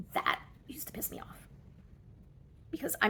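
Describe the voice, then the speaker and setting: The woman's voice comes out somewhat breathy. She keeps a moderate pace. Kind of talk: casual talk to camera.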